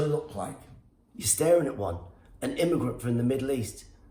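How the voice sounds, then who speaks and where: A man speaks with a British accent. The room echo is audible. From Iran, raised in UK. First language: Farsi. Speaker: stand-up comedian. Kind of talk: comedic rant. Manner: animated.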